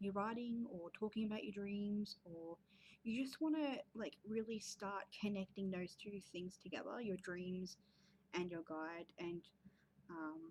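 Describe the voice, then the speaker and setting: A somewhat breathy woman's voice of medium pitch with ordinary pitch variation. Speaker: creative writing and spirituality vlogger. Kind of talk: casual vlog talk. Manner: fast; hesitant fillers.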